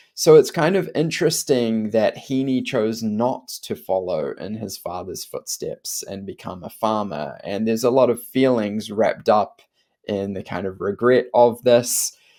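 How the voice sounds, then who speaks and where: Talking fairly slowly with hardly any pauses, a man with a New Zealand accent shows big swings in loudness. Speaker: literature teacher. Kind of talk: lecture. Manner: casual conversational.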